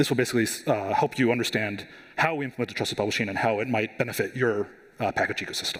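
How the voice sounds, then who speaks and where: A man's medium-pitched voice at a very fast pace, ordinary pitch variation, noticeable background noise. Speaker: software security engineer, conference speaker. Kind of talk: conference talk. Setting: stage with audience. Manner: hesitant, many fillers.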